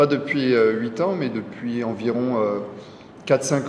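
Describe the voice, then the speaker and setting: A man speaks at a moderate pace and a medium pitch, with a slight French Guianese accent. His intonation is fairly even, and there is noticeable background noise. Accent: slight French Guianese touch. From Burgundy, France (Nevers). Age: 30s. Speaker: PE teacher and amateur cyclist. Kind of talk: interview.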